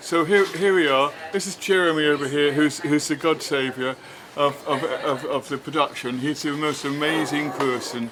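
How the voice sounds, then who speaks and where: A man with an English accent speaks at a moderate pace, his pitch fairly high. His intonation stays fairly even over noticeable background noise. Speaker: film director. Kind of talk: casual chat. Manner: halting.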